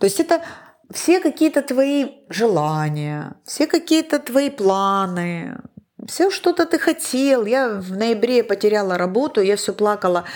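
This woman talks very slowly at a fairly high pitch. Her voice swings very widely up and down. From Ukraine, Donetsk. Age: 50s. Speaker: podcast host. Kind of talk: casual chat.

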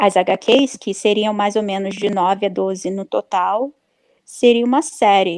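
A woman speaks very slowly at a medium pitch with ordinary pitch variation. The sound is dry and close with no echo, and the background is quiet. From Brazil. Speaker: comic book writer. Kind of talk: casual interview.

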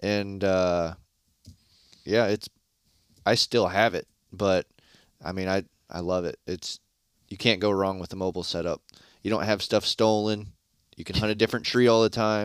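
A man with an American accent speaks at a moderate pace in a fairly low, monotone, flat voice, leaving long, frequent pauses. The recording is very clean, dry and close, with a silent background and no echo. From Michigan, Shiawassee County. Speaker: deer hunter. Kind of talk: casual chat.

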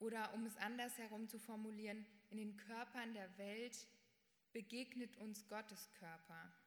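A woman speaks at a very slow pace with a fairly high pitch. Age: young. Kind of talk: prepared statement.

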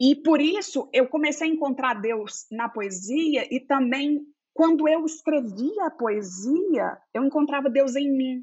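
A woman with a mineiro accent, high in pitch, lively in intonation, very slow yet with hardly any pauses. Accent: mineiro Brazilian. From Minas Gerais, Belo Horizonte. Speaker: theologian. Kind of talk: interview conversation.

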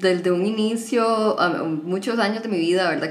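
A woman speaks with fairly even intonation. Noticeable background noise and audible room echo fill the recording. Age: 20s. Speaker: podcast guest, HR worker and psychology student. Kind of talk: casual chat.

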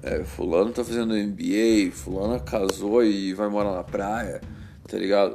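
The speech comes at a fairly slow pace with ordinary pitch variation. It is delivered in a Brazilian accent. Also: man. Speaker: podcaster. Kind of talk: casual chat. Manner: informal, filler-heavy.

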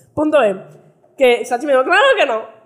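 Noticeable background noise runs behind a woman talking at a very fast pace with ordinary pitch variation. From United States. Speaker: podcast host. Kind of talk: casual chat.

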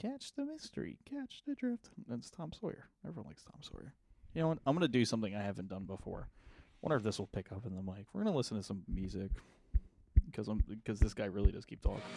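Speaking at a very fast pace, a man's voice shows big swings in loudness. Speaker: podcast host. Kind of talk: casual chat.

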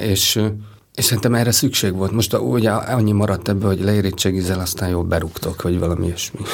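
This man has a very deep, low pitch. His intonation is fairly even. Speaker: animation film director. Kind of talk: interview. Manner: halting.

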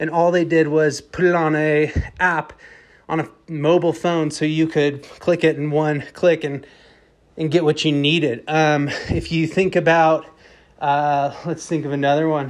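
At a fairly slow pace, a man talks in a fairly high voice with monotone, flat intonation. The background is quiet. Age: 30s. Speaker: podcast host. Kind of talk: casual solo monologue. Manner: casual, many filler words.

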